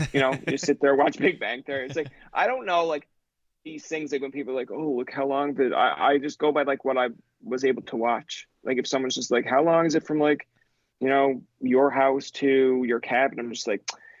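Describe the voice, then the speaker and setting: In a Newfoundland accent, a man speaks at a fairly quick pace with fairly even intonation. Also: fairly high pitch for a man. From Newfoundland, Goulds near St. John's. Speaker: podcaster. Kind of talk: casual chat. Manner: fast, rambling with many fillers.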